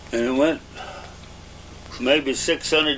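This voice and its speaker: A rural Southern US accent over noticeable background noise. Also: man. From Arkansas. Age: 70s. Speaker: elderly interviewee. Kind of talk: oral history interview. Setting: at home. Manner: halting, with frequent uh.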